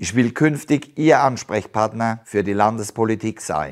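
The speaker uses lively intonation at a moderate pace. The background is quiet. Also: man. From Palatinate, Germany (Haßloch); Palatinate. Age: 50s. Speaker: politician, police officer; politician. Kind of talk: campaign statement. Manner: formal. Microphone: lapel.

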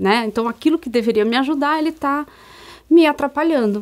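A woman at a fairly quick pace with lively intonation, against a quiet background. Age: 50s. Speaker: co-host and strengths mentor. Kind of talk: informative talk show chat. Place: studio. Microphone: lapel.

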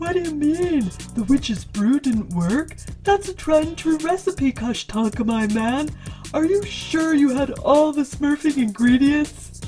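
A put-on character voice speaks at a high pitch and a fairly slow pace. Clear music plays in the background. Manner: casual, swaggering.

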